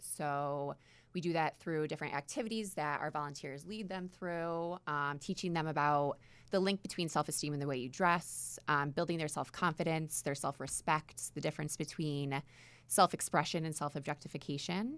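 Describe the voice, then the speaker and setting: A woman with an American accent, very deep and low in pitch, at a moderate pace with fairly even intonation. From New York. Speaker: nonprofit executive director. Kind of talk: radio interview. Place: studio. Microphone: studio mic.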